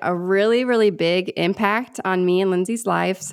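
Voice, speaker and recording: A woman speaks at a moderate pace in a plain, everyday voice, with ordinary pitch variation. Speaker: podcast co-host. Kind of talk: casual interview chat.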